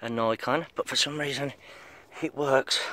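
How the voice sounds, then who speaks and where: A man at a moderate pace, the sound dry with no echo. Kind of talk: casual vlog chat. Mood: mildly frustrated, relaxed. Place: open country. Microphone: phone near.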